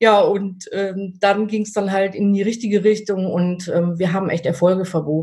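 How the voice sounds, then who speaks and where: At a moderate pace, a woman speaks with a somewhat breathy, dark, mellow tone, a medium pitch and fairly even intonation. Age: 50s. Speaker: dog trainer. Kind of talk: interview. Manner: hesitant, many filler sounds.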